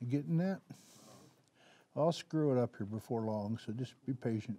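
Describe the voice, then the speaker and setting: Recorded dry and close with no echo, a man with a dark, mellow tone speaks at a moderate pace using lively intonation. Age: 70s. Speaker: artist. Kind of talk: live demonstration talk. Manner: casual, halting.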